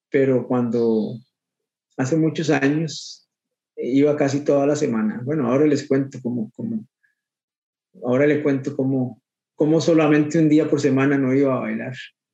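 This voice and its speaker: Pausing long and often, a man with a Costa Rican accent speaks at a moderate pace in a fairly high, dark, mellow voice with fairly even intonation. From Costa Rica, Guadalupe (Goicoechea). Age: 50s. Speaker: swing and bolero dancer. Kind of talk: interview. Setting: video call. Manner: halting, many repetitions.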